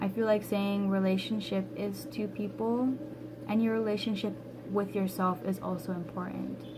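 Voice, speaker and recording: Noticeable background noise and audible room echo around a woman speaking at a moderate pace. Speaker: tarot reader. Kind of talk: tarot reading monologue. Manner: casual, conversational.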